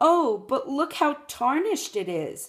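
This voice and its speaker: A woman uses a put-on character voice, high-pitched, with very wide swings in pitch. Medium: read story. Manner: falsely sweet, wheedling.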